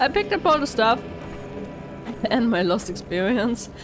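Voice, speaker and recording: Music plays in the background. A woman speaks with a German accent. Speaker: gaming YouTuber. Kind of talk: let's play commentary. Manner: casual, hesitant with fillers.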